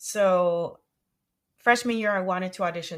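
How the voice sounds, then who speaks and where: The speaker has a Spanish accent, heard on a very clean recording with a silent background. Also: woman. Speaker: music educator and entrepreneur. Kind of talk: interview.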